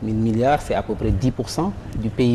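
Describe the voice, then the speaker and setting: A man of medium pitch talks at a moderate pace with ordinary pitch variation over noticeable background noise. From Senegal. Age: 40s. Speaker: banker and economist. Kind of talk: interview. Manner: formal.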